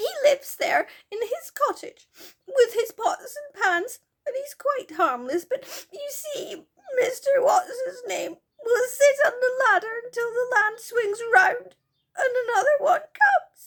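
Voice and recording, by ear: A woman does a squeaky put-on character voice at an extremely high pitch, with a fairly bright tone and a slow pace. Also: lively intonation.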